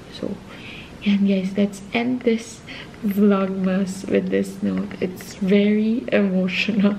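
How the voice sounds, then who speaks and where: At a very slow pace, a woman talks in a monotone, flat intonation over light background noise. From Philippines. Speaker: vlogger. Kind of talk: casual vlog talk. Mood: relaxed, a bit emotional at end.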